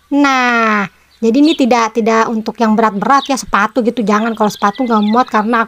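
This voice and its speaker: A woman with a fairly high pitch speaks at a fairly quick pace with fairly even intonation, in a dry, close sound with no echo and noticeable background noise. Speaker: crafts channel host. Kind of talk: tutorial. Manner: casual, chatty.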